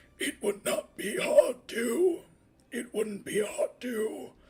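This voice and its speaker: In a put-on character voice, a man speaks very slowly at an extremely high pitch with a raspy sound. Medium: read story. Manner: calm, sly.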